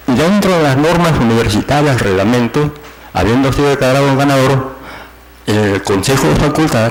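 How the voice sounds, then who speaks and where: Over noticeable background noise and audible room echo, a man talks at a moderate pace and medium pitch with lively intonation and very even loudness. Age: 60s. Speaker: university professor, petitioner at court hearing. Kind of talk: oral argument before court. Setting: courtroom hearing. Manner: halting, many fillers and repetitions.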